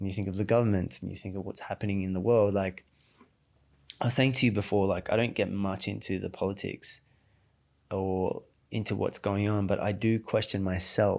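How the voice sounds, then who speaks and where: In a very clean recording with a silent background, a man with an Australian accent talks at a fairly quick pace in a fairly low pitch, his intonation fairly even and broken by long, frequent pauses. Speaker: emotional intelligence coach. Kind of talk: podcast interview. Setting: studio.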